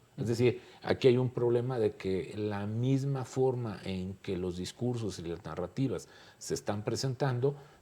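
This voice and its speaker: In a dark, mellow tone, a man at medium pitch speaks at a fairly slow pace with ordinary pitch variation. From Mexico. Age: 60s. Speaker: political scientist. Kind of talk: panel discussion.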